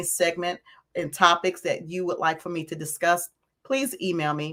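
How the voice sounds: A woman speaks with a raspy, fairly bright tone at a fairly low pitch. There is little pitch movement in her voice.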